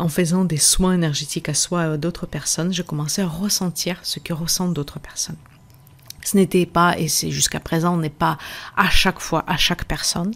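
Her pitch is fairly low and her intonation monotone and flat as the woman talks at a moderate pace. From Russia. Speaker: podcast host and energy therapist. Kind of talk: casual teaching monologue. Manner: hesitant, frequent fillers.

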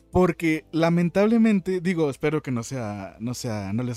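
A man's voice with very wide pitch swings, dry and close with no echo, over music in the background. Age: 20s. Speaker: podcast host and streamer. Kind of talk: casual chat. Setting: live stream.

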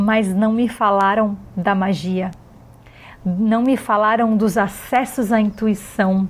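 A woman speaks at a medium pitch and a very slow pace. Her intonation is fairly even, and her loudness stays very even. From Brazil, Florianópolis. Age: 40s. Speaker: yoga teacher. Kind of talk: personal monologue.

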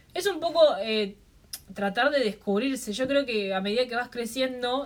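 Speaking in a normal speaking voice, a woman keeps a moderate pace and shows ordinary pitch variation. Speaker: podcast co-host. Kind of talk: casual chat.

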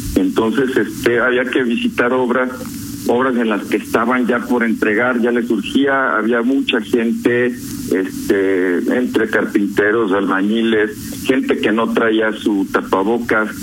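A man speaks fairly slowly at very even loudness, with audible room echo and noticeable background noise. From León, Guanajuato, Mexico. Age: 50s. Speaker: COVID-19 survivor. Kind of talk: radio phone interview.

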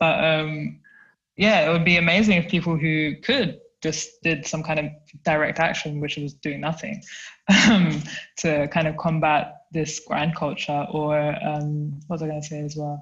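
A woman's very deep, low voice with a London accent, fairly even intonation and a moderate pace. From South London. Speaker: research assistant and climate activist. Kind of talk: casual chat.

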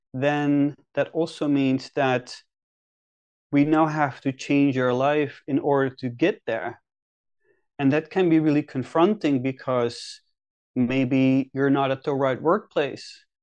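At a very slow pace and with fairly even intonation, the speaker leaves long, frequent pauses against a quiet background. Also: man. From Netherlands. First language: Dutch. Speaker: career and leadership coach. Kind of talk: podcast interview.

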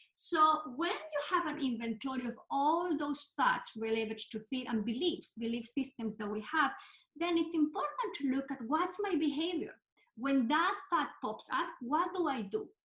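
A woman's bright, sharp, high-pitched voice swings very widely in pitch at a moderate pace. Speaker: clinical psychologist. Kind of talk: interview conversation.

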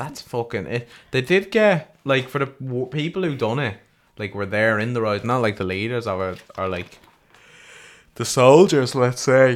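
At a fairly slow pace, a man speaks with a medium pitch and lively intonation. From Ireland. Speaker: podcast co-host. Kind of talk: casual chat. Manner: animated.

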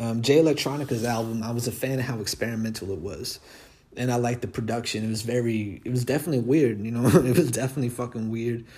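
A man speaks quietly at a very fast pace, his medium-pitched voice dark, mellow and somewhat breathy, with fairly even intonation. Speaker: rapper and podcast host. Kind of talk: casual solo monologue. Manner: relaxed with many fillers.

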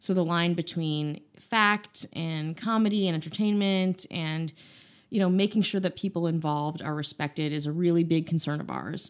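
A woman's plain, everyday voice, fairly low in pitch with fairly even intonation, in a very clean recording with a silent background. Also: moderate pace. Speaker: podcast co-host. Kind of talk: comedic banter.

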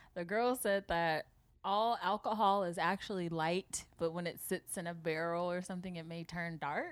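A woman talks in an American accent at a moderate pace, with a fairly low pitch and fairly even intonation. It's an unremarkable speaking voice. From Seattle area, US Pacific Northwest. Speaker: podcast co-host. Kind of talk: casual chat.

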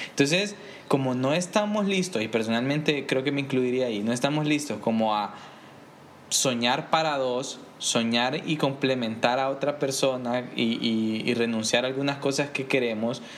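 A man with ordinary pitch variation keeps a moderate pace, and audible room echo fills the recording. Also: medium pitch for a man. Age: 20s. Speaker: podcast co-host. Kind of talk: casual chat.

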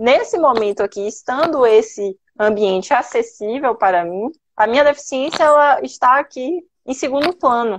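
A woman's high pitch in a Bahian accent, with ordinary pitch variation at a moderate pace. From Bahia, Brazil. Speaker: lawyer. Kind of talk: live interview.

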